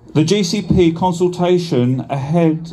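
This man has a fairly high pitch, a dark, mellow tone and ordinary pitch variation. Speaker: campaigner. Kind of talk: rally speech read from a prepared script. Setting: outdoor rally with crowd. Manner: formal, earnest, slightly halting while reading. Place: street. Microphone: camera far.

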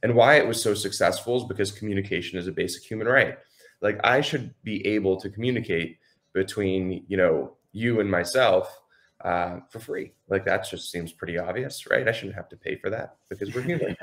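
Against a quiet background, a man speaks at fairly low pitch. His pitch variation is ordinary and his pace moderate. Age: 20s. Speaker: entrepreneur. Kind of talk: casual chat. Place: home room.

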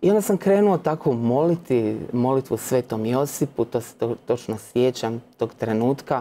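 Light background noise sits behind a man with a dark, mellow tone. He speaks with lively intonation and hardly any pauses. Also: medium pitch for a man, moderate pace. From Croatia, Split (Dalmatia); Croatia. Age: 30s. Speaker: Franciscan postulant, former literature scholar; guest. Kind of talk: faith testimony interview. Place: studio. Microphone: lapel.

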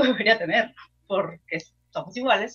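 Very wide pitch swings run through this woman's high-pitched voice. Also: quiet background. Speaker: film podcast co-host. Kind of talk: casual chat. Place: home room. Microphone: video call.

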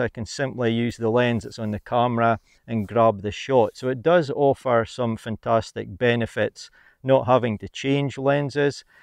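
A man at a moderate pace with fairly even intonation, in a dry sound with no echo and a quiet background. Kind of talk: casual vlog chat. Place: forest. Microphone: lapel.

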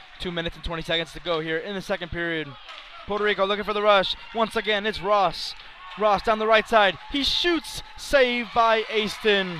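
Over noticeable background noise, a man with a high pitch speaks in a raised, projected voice with ordinary pitch variation. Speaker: hockey play-by-play commentator. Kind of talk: live sports commentary, play-by-play. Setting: rink stadium broadcast. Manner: rapid-fire, clipped play-by-play delivery.

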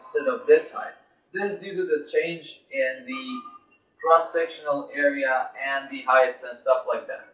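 A man speaks at a fairly slow pace, his loudness swinging widely. There is audible room echo and music in the background. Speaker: teacher. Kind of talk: lecture. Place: classroom. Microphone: camera far.

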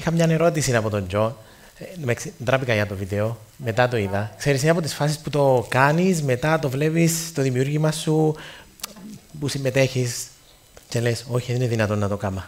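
Using a Cypriot accent, a man speaks at a moderate pace with ordinary pitch variation and long, frequent pauses. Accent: Cypriot Greek. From Cyprus. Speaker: radio station founder; guest. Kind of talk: speech to students. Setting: stage with audience. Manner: animated. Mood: humorous, warm. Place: stage. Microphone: headset.

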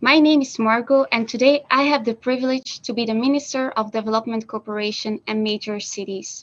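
A woman talks at a fairly quick pace with fairly even intonation. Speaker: stand-in minister for a day. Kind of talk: conference speech. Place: office. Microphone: video call.

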